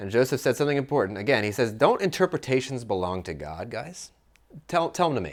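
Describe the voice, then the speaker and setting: A man talks very fast at a medium pitch, with vocal fry, very wide pitch swings and big swings in loudness. The recording is very clean, with a silent background. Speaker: podcast host and Bible teacher. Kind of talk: Bible study teaching with small group. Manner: casual, conversational.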